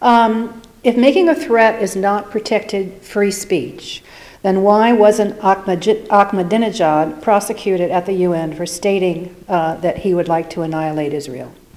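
The pace is moderate, and the pitch varies in an ordinary way. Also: woman. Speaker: audience member. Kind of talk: audience question. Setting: live event with audience. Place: hall. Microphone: podium.

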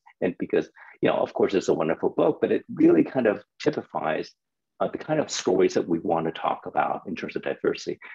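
A man at a very fast pace against a quiet background. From Hong Kong. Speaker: children's book publisher. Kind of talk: panel discussion. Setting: video call. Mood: warm, smiling. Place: home room. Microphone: video call.

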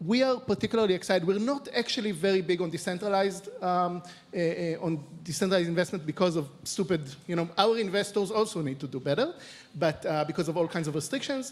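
Pitched high, a man speaks at a very fast pace. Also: ordinary pitch variation. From Israel. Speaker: venture capital investor; panelist. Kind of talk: panel discussion. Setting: stage with audience. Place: stage. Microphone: handheld.

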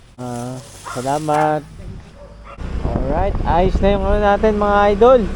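With lively intonation and a fairly high pitch, a man speaks very slowly with long, frequent pauses, amid noticeable background noise and audible room echo. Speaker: delivery rider vlogger. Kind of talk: casual vlog narration. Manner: animated.

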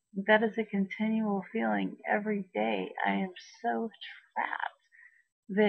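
A woman talks at a very slow pace. The background is quiet. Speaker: vlogger. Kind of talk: casual vlog chat. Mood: distressed but laughing at times. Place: home room. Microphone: webcam.

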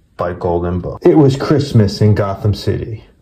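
Lively intonation marks this man's speech. He keeps a moderate pace. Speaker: book reader, collector channel host. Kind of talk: children's book read-aloud. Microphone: phone near.

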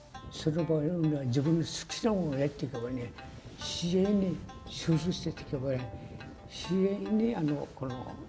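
Clear music plays behind a man who speaks fairly slowly at a fairly high pitch with lively intonation. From Okinawa, Japan. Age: 80s+. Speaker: karate master. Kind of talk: interview answer. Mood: warm, smiling.

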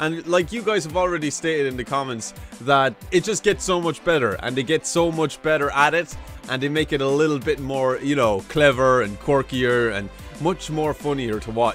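Faint music plays behind a man speaking at a moderate pace, the sound dry with no echo. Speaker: reaction video creator. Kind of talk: casual reaction commentary. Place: home room. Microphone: studio mic.

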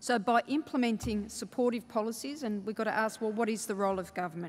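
A woman in an Australian accent talks at a fairly quick pace with ordinary pitch variation. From Australia, Melbourne (Fawkner). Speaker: state government minister. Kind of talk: conference keynote speech. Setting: stage with audience. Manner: halting, with many fillers. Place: hall. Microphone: podium.

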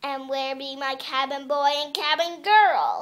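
A put-on character voice, high in pitch and delivered at a fairly slow pace. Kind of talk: audition read.

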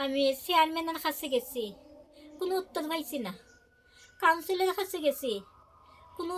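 A woman's extremely high-pitched voice with ordinary pitch variation, music playing behind her. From Kailashahar, Tripura, India. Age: 50s. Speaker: blind pensioner interviewed about unpaid allowance. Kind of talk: news interview testimony.

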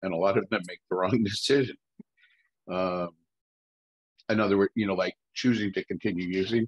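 Over a quiet background, a man talks at a fairly quick pace with long, frequent pauses. His voice is fairly low, with fairly even intonation. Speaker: peer advocate. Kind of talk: discussion question. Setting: video call. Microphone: video call.

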